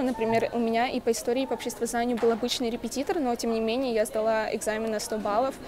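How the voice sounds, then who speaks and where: Fairly high-pitched speech from a woman, noticeable noise in the background. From Russia. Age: young. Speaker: university student. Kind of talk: testimonial. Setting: university building. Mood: calm, encouraging. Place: hall. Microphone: earbuds.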